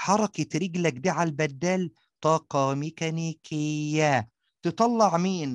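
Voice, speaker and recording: The sound is dry and close with no echo, over a quiet background. A man with a fairly high pitch talks at a very slow pace with ordinary pitch variation. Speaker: science teacher. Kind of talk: tutorial. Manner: animated.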